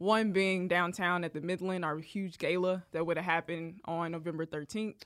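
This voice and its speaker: A woman talks at a moderate pace with hardly any pauses. Her fairly low voice has a monotone, flat intonation. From Arkansas. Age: young. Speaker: museum community engagement manager. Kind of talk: casual chat.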